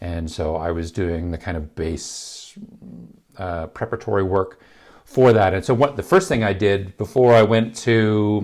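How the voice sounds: Speaking at a fairly slow pace, a man with a low, gravelly voice and a slightly mellow tone shows ordinary pitch variation.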